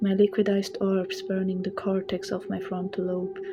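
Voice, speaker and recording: Noticeable noise sits under a woman speaking in a monotone with flat intonation. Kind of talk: comedic horror story narration.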